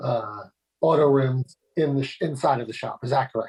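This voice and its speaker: This man has a fairly high pitch, a somewhat breathy voice and fairly even intonation. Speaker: zoning board member. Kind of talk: public meeting hearing. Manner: halting.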